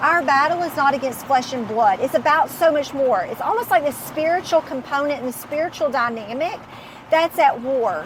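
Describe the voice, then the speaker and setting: A woman's loud, high-pitched voice moves at a fairly quick pace with lively intonation against noticeable background noise. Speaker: business owner and Bible study host. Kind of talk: casual faith-based study discussion.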